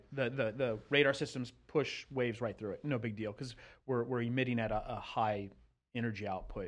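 A plain, everyday voice speaks at a moderate pace. The background is quiet. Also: man. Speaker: retired military analyst. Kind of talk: casual discussion about current events.

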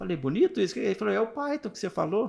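A man talks fairly quickly, captured in a very clean recording against a silent background. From interior of Rio de Janeiro state, Brazil. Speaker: project management professional and university lecturer. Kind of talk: casual interview chat. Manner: relaxed, conversational, with frequent fillers.

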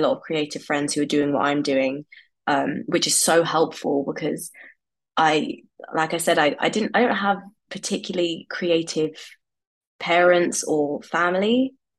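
A woman with a London accent speaks at a moderate pace, her pitch very deep and low. Her pitch varies in an ordinary way. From West London. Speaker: furniture designer. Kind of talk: interview.

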